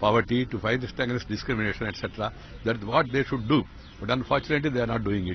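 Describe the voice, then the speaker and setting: A man talks at a very fast pace with ordinary pitch variation. The sound is dry with no echo, over light background noise. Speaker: politician speaking to press. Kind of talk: press statement. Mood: firm, condemning. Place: garden. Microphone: handheld.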